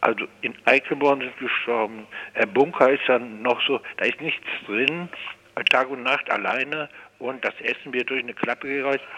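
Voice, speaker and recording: Through noticeable background noise, a man of medium pitch speaks at a moderate pace with fairly even intonation. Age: 60s. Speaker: forensic psychiatric detainee. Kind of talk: phone interview. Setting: phone call. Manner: halting.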